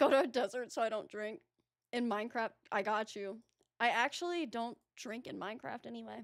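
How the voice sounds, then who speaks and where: Speaking at a fairly quick pace, a woman with an American accent uses a fairly high pitch with ordinary pitch variation. Her loudness swings a great deal. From US South, Atlanta, Georgia. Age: 20s. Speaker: streamer. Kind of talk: casual chat. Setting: live stream. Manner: hesitant, many fillers.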